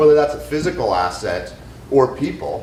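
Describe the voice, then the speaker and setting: Over noticeable background noise and audible room echo, a man of medium pitch talks at a moderate pace with lively intonation. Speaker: business executive. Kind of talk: audience comment at panel. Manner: loud.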